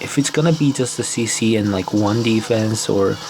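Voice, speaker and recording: Against noticeable background noise, a man speaks at a moderate pace and medium pitch with ordinary pitch variation. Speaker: mobile strategy game content creator. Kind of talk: gameplay commentary. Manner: casual, hesitant with fillers.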